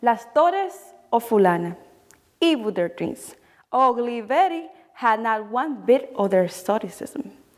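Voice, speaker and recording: Delivered in a Spanish accent, the speech runs fairly slowly with long, frequent pauses. The pitch swings very widely. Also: woman, fairly high pitch for a woman. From Dominican Republic. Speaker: poet. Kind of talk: spoken word poetry reading.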